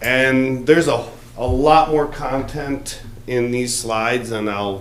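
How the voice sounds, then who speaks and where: A man is speaking. Noticeable background noise and audible room echo come through. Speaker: school superintendent. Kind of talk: presentation to a public board meeting.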